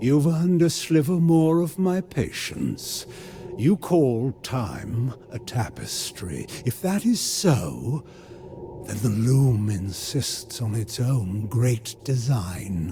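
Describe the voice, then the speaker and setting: A man's put-on character voice, medium in pitch and very slow, with clear background noise. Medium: voice reel. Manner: cold, imperious, sardonic.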